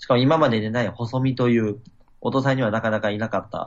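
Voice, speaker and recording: A man's normal speaking voice at medium pitch, fairly quick in pace, with fairly even intonation. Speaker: event organizer and musician. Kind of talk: interview. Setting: video call.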